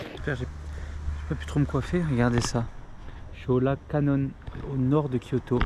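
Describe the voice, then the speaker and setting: There is noticeable background noise as a man at medium pitch talks at a moderate pace with long, frequent pauses. His pitch swings very widely. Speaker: travel vlogger. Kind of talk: casual vlog. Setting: outdoors. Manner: casual slangy; soft-spoken.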